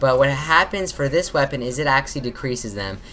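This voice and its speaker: Over noticeable background noise, a woman speaks with a very deep, low pitch and lively intonation. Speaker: gaming YouTuber. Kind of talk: gameplay commentary tutorial. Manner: casual, filler-heavy.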